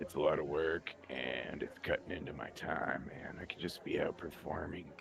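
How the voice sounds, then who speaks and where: A put-on character voice, raspy and at a moderate pace, comes through over clear background noise. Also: man. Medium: actual play. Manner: casual, laid-back.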